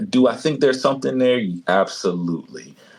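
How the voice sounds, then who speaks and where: A man's normal speaking voice at a moderate pace, with lively intonation. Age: 30s. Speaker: talk show host. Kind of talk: casual chat.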